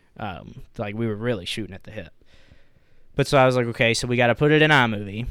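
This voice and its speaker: A man talks at a very fast pace and a medium pitch. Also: ordinary pitch variation, big swings in loudness. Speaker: podcast host. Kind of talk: casual chat. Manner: casual, profane.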